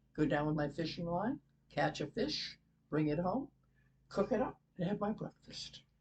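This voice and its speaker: A woman with an American accent speaks in a somewhat breathy voice, fairly low in pitch, with lively intonation. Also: moderate pace. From New England, Massachusetts (Easton). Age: 80s+. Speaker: interview guest, relative of host. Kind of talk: casual interview. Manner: reminiscing, conversational with hesitations.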